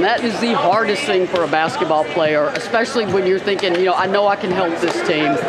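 Speech with hardly any pauses over loud background noise. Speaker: interviewer. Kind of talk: casual interview Q&A. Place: gym.

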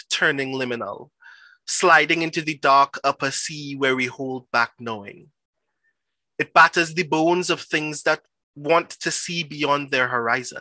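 A man speaks at a fairly slow pace with ordinary pitch variation and a bright, sharp tone. The sound is dry with no echo over a quiet background. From Trinidad and Tobago. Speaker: performance poet. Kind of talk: poetry reading. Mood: intense, rhythmic, dramatic.

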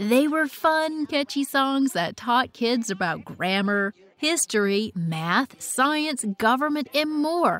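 A woman speaks at a very slow pace in an upbeat tone, her pitch swinging very widely. The sound is dry, with no echo. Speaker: voice actor. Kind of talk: nostalgic documentary-style narration. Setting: studio. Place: booth.

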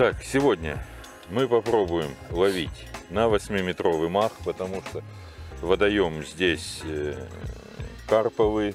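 Over faint music in the background, a man with a fairly low pitch speaks at a very slow pace in a dry sound with no echo. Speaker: fishing instructor. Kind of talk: tutorial. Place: waterside. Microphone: lapel.

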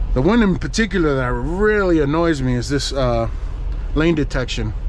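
The pace is moderate, and the sound is dry with no echo. There is light background noise. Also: man. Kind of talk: casual vlog chat. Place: car. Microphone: camera far.

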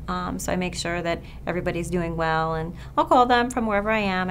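A woman with a fairly low pitch talks at a fairly quick pace over light background noise. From Long Island, New York. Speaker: physician. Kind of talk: interview answers. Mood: warm, earnest. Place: office.

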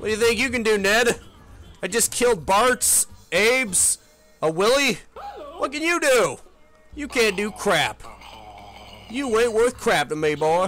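A put-on character voice. Long pauses come often. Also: man, high pitch for a man, moderate pace. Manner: gruff, mean, taunting.

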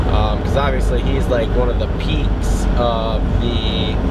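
A man speaks at a fairly slow pace over loud background noise. The sound is dry with no echo. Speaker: vlogger. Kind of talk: casual vlog chat. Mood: upbeat, enthusiastic. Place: car. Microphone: phone near.

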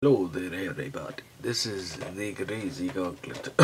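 Over light background noise, a man puts on a croaky character voice, fairly low in pitch, with lively intonation and a moderate pace.

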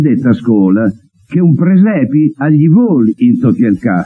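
A dark, mellow tone at a very slow pace. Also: man. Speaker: TV presenter. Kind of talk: poetry reading in dialect.

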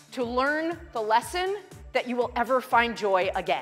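A woman speaks with high pitch and very wide pitch swings at a moderate pace. Faint music plays in the background. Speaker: family physician, parenting and resilience expert. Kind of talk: keynote speech.

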